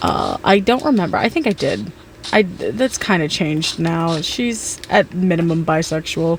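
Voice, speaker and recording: Over noticeable background noise, a woman with a fairly low voice talks at a fairly slow pace with lively intonation. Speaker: gaming streamer. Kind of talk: casual gameplay chat. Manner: loud; halting, repeats words.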